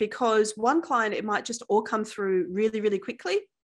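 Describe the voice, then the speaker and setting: A woman speaks with an Australian accent at a fairly high pitch. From Perth, Western Australia. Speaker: wealth coach. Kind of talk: casual interview chat.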